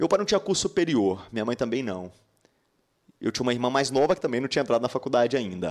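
A man talks at a very fast pace with medium pitch and very wide pitch swings. He leaves long, frequent pauses. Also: very clean recording, silent background. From Minas Gerais, Brazil (Patos de Minas). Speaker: dentist and dental educator. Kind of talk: casual interview.

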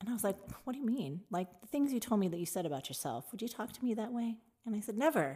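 Speaking at a very fast pace with an American accent, a woman's somewhat breathy, fairly high voice makes very wide pitch swings. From Tucson, Arizona. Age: 50s. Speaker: bartender. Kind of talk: casual interview chat.

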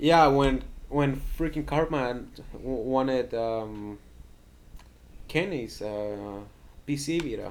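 This man talks at a very slow pace with long, frequent pauses, his medium pitch showing ordinary variation. Audible room echo surrounds his voice. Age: young. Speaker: podcast co-host. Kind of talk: casual chat.

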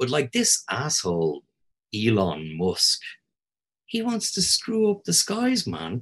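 A man with a Dublin accent, speaking very slowly, with long, frequent pauses. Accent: Irish (Dublin). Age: 50s. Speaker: historian and tour guide. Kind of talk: casual chat.

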